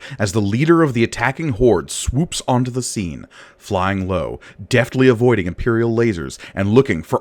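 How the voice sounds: This natural reading voice rises and falls with lively intonation.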